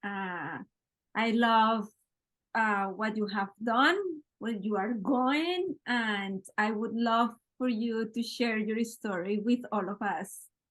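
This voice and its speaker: Very slow speech from a woman with a strong non-native accent, fairly high in pitch with ordinary pitch variation. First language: Spanish. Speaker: podcast host, interviewer. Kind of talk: casual interview chat.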